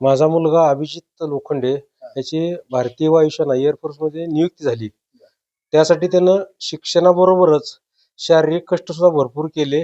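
Heard dry and close with no echo, a man's fairly high voice carries a dark, mellow tone and fairly even intonation. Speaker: father of recruit. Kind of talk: interview.

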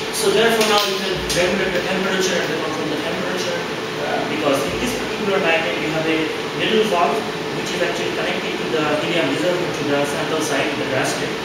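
Over loud background noise and audible room echo, a man talks at a very fast pace. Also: ordinary pitch variation. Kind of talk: tutorial. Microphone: camera far.

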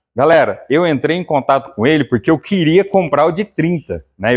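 There is a quiet background. Against it, a man talks with lively intonation. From interior of São Paulo, Brazil. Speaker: channel host and keg buyer. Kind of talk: sales pitch, casual pitchman-style promo to camera. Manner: casual, chatty, upbeat; repetitive, salesy, with filler "né". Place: shop. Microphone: phone near.

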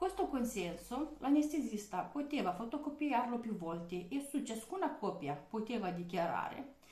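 Pitch swings very widely in this voice, with audible room echo. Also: woman. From outside Italy. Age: 20s. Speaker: vlogger. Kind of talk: personal testimony monologue. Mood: serious, aggrieved. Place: kitchen. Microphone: webcam.

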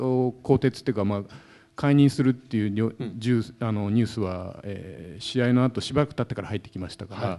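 A man with a dark, mellow tone speaks at a fairly quick pace. His loudness swings a lot while pitch variation stays ordinary. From Japan. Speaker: sports journalist. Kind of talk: talk show panel. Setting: stage with audience. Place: hall. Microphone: handheld.

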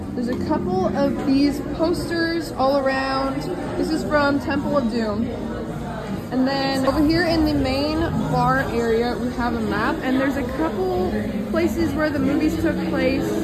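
A woman at a fairly slow pace, with crowd noise in the background. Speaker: visitor vlogger. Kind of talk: casual vlog chat. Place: bar. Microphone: phone near.

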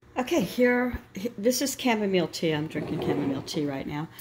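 Noticeable noise sits in the background. Over it, a woman speaks at a fairly quick pace. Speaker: home cook vlogger. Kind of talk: casual vlog chat. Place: kitchen. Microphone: phone near.

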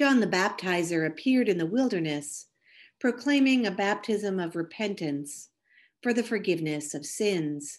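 Against a quiet background, a woman in a plain, everyday voice speaks at a medium pitch and moderate pace with lively intonation. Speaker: church program narrator and prayer leader. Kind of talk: scripture reading and closing prayer.

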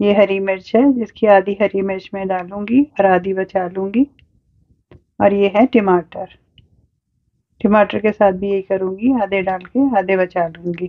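A woman talks at a fairly slow pace with fairly even intonation and a medium pitch, in a dry, close sound with no echo.

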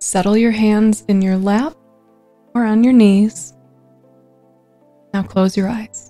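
Over faint background music, a woman speaks very slowly in a calm, soothing tone with fairly even intonation. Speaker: meditation guide. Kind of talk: guided meditation. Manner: calm, soothing, slow-paced. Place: home room. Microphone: studio mic.

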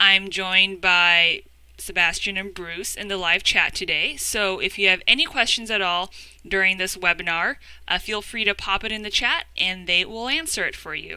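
Against a quiet background, a woman speaks at a moderate pace in a bright, sharp tone with ordinary pitch variation and a dry sound with no echo. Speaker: educator presenting a webinar. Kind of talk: webinar presentation. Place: home room. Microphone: webcam.

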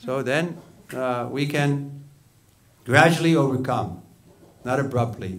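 An American-accented man speaks at a very slow pace with ordinary pitch variation. He leaves long, frequent pauses. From US Northeast, Long Island, New York; New York. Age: 60s. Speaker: Hare Krishna monk; religious teacher. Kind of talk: sermon. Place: hall. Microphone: studio mic.

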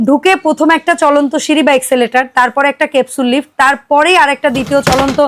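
A woman speaks at a high pitch with ordinary pitch variation. The sound is dry and close with no echo. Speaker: YouTube vlogger presenting products. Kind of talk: promotional shop video, casual chat.

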